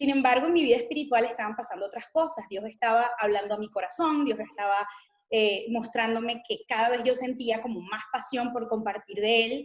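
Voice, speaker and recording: A woman with a Venezuelan accent speaks in a fairly high pitch. Her pitch varies in an ordinary way. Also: fairly quick pace. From Venezuela, Caracas. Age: 30s. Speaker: missionary. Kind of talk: interview testimony.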